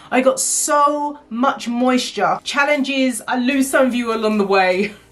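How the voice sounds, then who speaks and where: A woman speaks with a high pitch and an animated tone at a fairly slow pace. Music plays in the background. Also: ordinary pitch variation. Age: 40s. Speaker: hair care vlogger. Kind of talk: casual vlog talk. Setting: home office.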